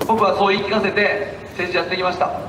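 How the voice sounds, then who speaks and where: A man's high-pitched, passionate voice at a fairly quick pace, monotone and flat in intonation, over noticeable background noise. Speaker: politician giving a street speech. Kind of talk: street campaign speech. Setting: outdoors, public speaking. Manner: passionate, emphatic.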